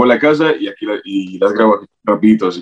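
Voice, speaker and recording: A man talking at a very fast pace. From Latin America, raised by grandmother until 12. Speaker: TikTok content creator. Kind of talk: casual interview chat.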